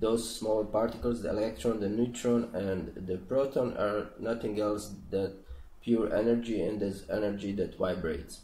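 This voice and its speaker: A man with a Croatian accent speaks at a moderate pace and a fairly low pitch, his tone dark and mellow. Audible room echo is present. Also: fairly even intonation. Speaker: spiritual channel host. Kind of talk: explanatory monologue. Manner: halting, many fillers and restarts.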